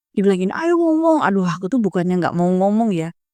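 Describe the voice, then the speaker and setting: Loud and animated, a woman talks at a very fast pace with very wide pitch swings in a dry, close sound with no echo. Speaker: school alumna with doctorate, educator. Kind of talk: podcast interview.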